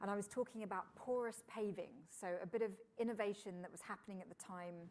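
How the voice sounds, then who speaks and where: Speaking at a very fast pace, a woman with a British accent uses a medium pitch and fairly even intonation. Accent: British, host first took it for Florida. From England. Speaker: engineer and TV presenter. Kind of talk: fireside chat interview. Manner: conversational with frequent fillers.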